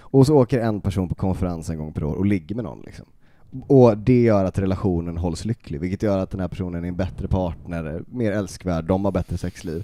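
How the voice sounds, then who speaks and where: Dry and free of echo, a man's very deep, low voice has a dark, mellow tone, ordinary pitch variation and a fairly quick pace. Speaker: podcast host. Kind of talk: casual chat. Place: home room. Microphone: handheld.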